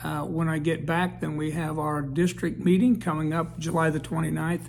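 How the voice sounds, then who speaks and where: Noticeable background noise accompanies a man who talks at a moderate pace. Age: 70s. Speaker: service club district leader. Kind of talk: informal self-introduction to camera. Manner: halting, with many fillers.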